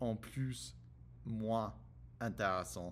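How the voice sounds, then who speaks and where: A man with an English accent, speaking at a very slow pace with ordinary pitch variation. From United States. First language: English (speaking French). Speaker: French learner vlogger. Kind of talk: casual monologue vlog. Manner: halting, many hesitations and repetitions.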